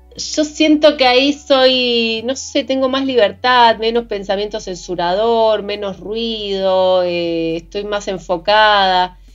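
A woman talks at a very slow pace with hardly any pauses. Her voice sits fairly high, with ordinary pitch variation. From Argentina, Santa Cruz (Patagonia). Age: 40s. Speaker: playwright and screenwriter. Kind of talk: casual interview conversation.

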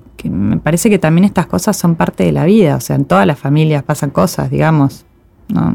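Over noticeable background noise, a woman with an Argentine accent speaks at a fairly quick pace. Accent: Rioplatense Argentine Spanish. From Argentina. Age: 40s. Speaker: podcast host, adoptee. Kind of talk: casual interview.

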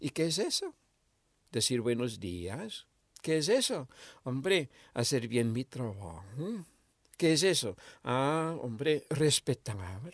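A man's medium-pitched voice with very wide pitch swings, a very slow pace and long, frequent pauses, in a dry, close sound with no echo on a very clean recording with a silent background. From Argentina, Misiones (rural). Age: 70s. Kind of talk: interview conversation. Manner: animated.

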